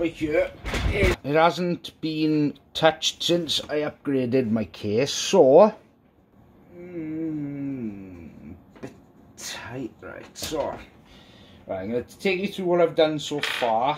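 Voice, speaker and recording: A man speaks at a very slow pace with a Welsh accent. His loudness swings a lot, and there is light background noise. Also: fairly high pitch for a man, lively intonation. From Wales. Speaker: YouTuber, PC modding. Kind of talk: tutorial; casual tutorial. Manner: casual, halting. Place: home room.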